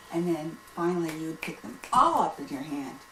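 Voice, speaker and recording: The pace is fairly slow. Audible room echo and noticeable background noise are present. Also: woman. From Pennsylvania, US. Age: 70s. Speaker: grandmother being interviewed. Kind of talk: casual interview.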